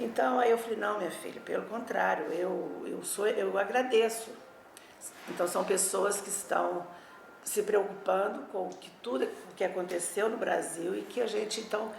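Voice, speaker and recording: A woman's fairly high voice with ordinary pitch variation and big swings in loudness, in an echoey room with noticeable background noise. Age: 60s. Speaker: former political activist. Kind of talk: oral history testimony. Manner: halting.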